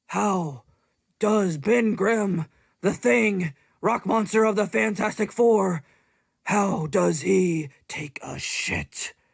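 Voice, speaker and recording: A man's put-on character voice, high-pitched and very slow. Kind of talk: comic overacting. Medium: comedy sketch. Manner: frantic, emphatic, exclamatory.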